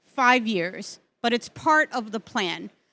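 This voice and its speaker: A woman's fairly high, bright and sharp voice, very slow, with ordinary pitch variation and a dry, close sound with no echo. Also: very clean recording, silent background. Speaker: branding consultant, session presenter. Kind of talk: conference presentation. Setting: stage with audience. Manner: animated.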